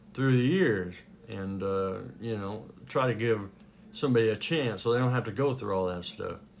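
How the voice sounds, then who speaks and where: A man with an American accent and a fairly low pitch, ordinary pitch variation and a moderate pace, with audible room echo. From US West, Sheridan, Wyoming. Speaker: Elvis tribute artist. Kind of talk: casual talk to camera. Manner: halting, many fillers.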